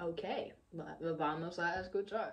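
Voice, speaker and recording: A woman talks at a very slow pace in an American accent. Her intonation stays fairly even. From United States. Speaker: exchange student. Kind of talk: casual reaction vlog to camera. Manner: hesitant, mixing English fillers. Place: home room.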